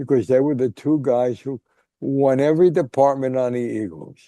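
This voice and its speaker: In a dark, mellow tone, a man talks at a moderate pace. He has an American accent. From Newark, New Jersey. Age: 90s. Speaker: sportswriter and author. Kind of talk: interview storytelling. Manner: halting with false starts.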